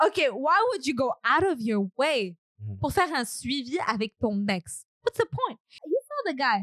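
A woman with a high pitch talks at a moderate pace with very wide pitch swings in a dry, close sound with no echo. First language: French. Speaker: podcast host. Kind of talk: casual chat. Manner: playful, teasing.

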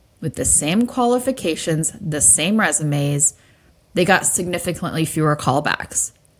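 With a normal speaking voice, a woman talks at a moderate pace in a fairly low pitch with lively intonation. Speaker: podcast host. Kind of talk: interview with scripted intro.

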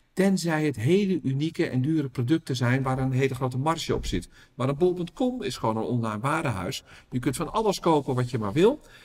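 A man talks at a fairly quick pace with lively intonation. His fairly high voice is somewhat breathy. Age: 50s. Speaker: retail researcher and business owner. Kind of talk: interview.

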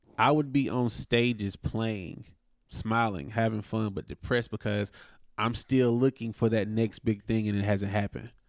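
This man has an unremarkable speaking voice, fairly low in pitch, with an American accent. He talks at a moderate pace with fairly even intonation on a very clean recording with a silent background. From North Carolina, Wilson. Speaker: musician, drummer. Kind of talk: casual interview.

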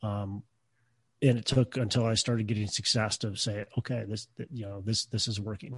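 At a moderate pace, a man with a fairly low, somewhat breathy voice speaks with fairly even intonation, the sound dry and close with no echo and the background quiet. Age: 30s. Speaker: real estate investor, former shop teacher. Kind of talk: interview.

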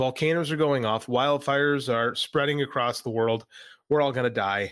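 A man with an ordinary speaking voice talks at a fairly quick pace, at medium pitch with ordinary pitch variation. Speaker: podcast co-host and wrestling coach. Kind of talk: casual chat. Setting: video recording.

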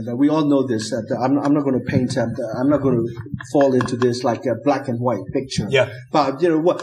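In a Burmese accent, a man speaks at a fairly quick pace with fairly even intonation. Room echo is audible. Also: medium pitch for a man. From Burma. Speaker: academic and human rights activist. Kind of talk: live interview. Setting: stage with audience.

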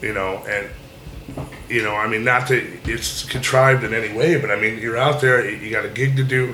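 The man's voice sits at medium pitch, with fairly even intonation at a moderate pace. Noticeable background noise and audible room echo are present. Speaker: guitarist and guitar teacher. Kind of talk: casual chat.

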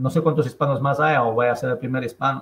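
A man speaks with fairly high pitch and fairly even intonation. His voice is somewhat breathy. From Ecuador, Andean highlands (Chimborazo). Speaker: real estate investor. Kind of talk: interview.

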